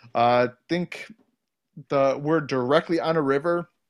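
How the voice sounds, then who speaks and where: Using an ordinary speaking voice, a man talks with an American accent and ordinary pitch variation. The recording is very clean, with a silent background. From Ohio. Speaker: podcast host. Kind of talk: casual chat.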